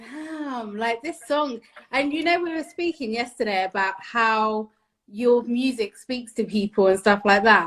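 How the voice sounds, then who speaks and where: With a British accent, a woman speaks at a fairly slow pace. Her fairly high pitch carries lively intonation. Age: 30s. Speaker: interviewer. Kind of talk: casual interview. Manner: animated.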